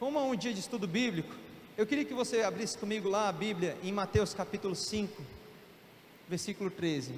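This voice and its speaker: A man with a high-pitched voice speaks over noticeable background noise, and the room echo is audible. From Brasília, Brazil. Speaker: missionary preacher. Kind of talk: sermon. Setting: church. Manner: fast.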